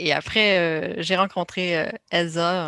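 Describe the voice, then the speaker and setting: On a very clean recording with a silent background, a woman with a Quebec accent speaks at a medium pitch. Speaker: research platform manager. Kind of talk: interview. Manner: hesitant, many fillers.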